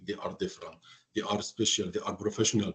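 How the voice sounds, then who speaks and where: The speaker has an Arabic accent. The voice is somewhat breathy. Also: man. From Egypt, Alexandria. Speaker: hotel finance professional. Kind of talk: interview. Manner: halting.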